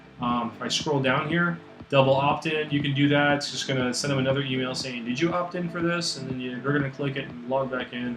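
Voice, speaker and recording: A man at a medium pitch, very fast pace and fairly even intonation, with noticeable background noise and audible room echo. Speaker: web design consultant. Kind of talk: tutorial. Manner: casual.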